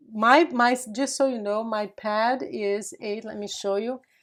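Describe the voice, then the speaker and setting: At a very slow pace, a woman with a Portuguese accent talks in a fairly high pitch with ordinary pitch variation. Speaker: craft youtuber. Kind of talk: tutorial. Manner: casual, chatty.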